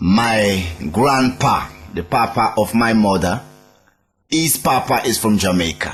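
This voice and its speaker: With a Sierra Leonean accent, the speaker talks at a fairly slow pace with long, frequent pauses and ordinary pitch variation. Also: man, medium pitch for a man. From Sierra Leone, Freetown. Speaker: reggae musician. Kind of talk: interview.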